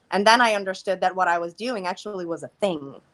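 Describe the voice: Speaking fast, a woman uses a fairly low pitch with ordinary pitch variation.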